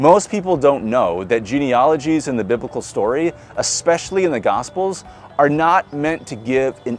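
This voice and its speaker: Music plays behind a man with a Midwestern American accent. His pitch swings very widely. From US Midwest. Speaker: pastor. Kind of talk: church sermon.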